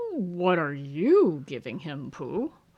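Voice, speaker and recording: This is a put-on character voice that sounds female. It sits at a middle pitch. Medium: read story. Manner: pompous, self-assured.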